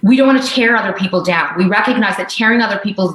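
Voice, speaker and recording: A woman with a Canadian accent, medium pitch, ordinary pitch variation and a fairly quick pace. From Canada, Punjabi heritage. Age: 40s. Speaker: diversity and inclusion consultant. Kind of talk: interview. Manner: forceful.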